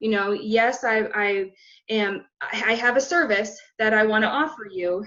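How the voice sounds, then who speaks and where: With an American accent, a woman speaks fairly slowly at a fairly high pitch with ordinary pitch variation. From Arizona. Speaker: CPR instructor and small business owner. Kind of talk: interview conversation. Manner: excited, animated.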